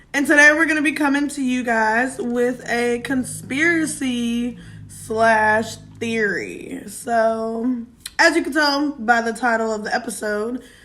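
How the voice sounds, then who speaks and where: A woman's high-pitched voice with a bright, sharp tone, ordinary pitch variation and a fairly slow pace. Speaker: podcast host. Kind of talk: casual chat.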